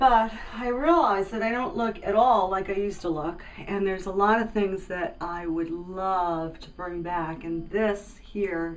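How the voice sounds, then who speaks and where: Amid audible room echo, a woman of medium pitch speaks at a fairly slow pace, with ordinary pitch variation and big swings in loudness. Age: 60s. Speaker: cosmetic patient. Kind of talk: testimony.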